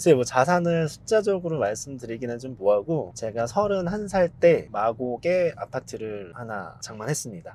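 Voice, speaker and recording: A man talks at a moderate pace. His pitch swings very widely, and his loudness swings a lot too. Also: medium pitch for a man. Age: 40s. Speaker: business owner, content creator. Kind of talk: interview.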